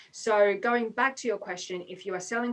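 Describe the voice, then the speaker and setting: This is a woman's voice. She speaks with an Australian accent. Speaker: business consultant. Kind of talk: webinar talk. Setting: online webinar.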